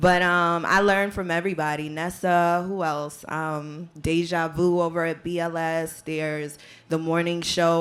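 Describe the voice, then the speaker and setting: In a normal speaking voice, a woman talks with a fairly low pitch at a moderate pace. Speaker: radio personality. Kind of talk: panel discussion.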